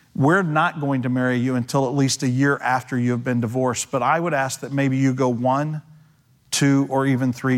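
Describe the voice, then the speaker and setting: Recorded very cleanly with a silent background, a man has an unremarkable speaking voice, medium pitch and fairly even intonation. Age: 50s. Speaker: pastor. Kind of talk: sermon. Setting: church.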